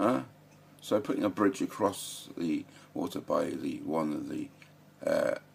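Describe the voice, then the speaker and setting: A man with an English accent, over noticeable background noise. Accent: English, close to Queen's English. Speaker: political commentator vlogger. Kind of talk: casual monologue. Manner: halting, many fillers.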